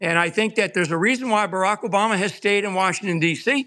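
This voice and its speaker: In a very clean recording with a silent background, a man projects a raised voice that is high in pitch and bright and sharp in tone, moving at a moderate pace with ordinary pitch variation. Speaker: guest commentator. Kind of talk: casual political discussion.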